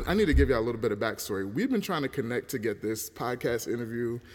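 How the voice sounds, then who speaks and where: Talking very fast, a man uses lively intonation at medium pitch. He has an American accent. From United States. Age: 30s. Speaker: podcast host. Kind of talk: casual interview. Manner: animated.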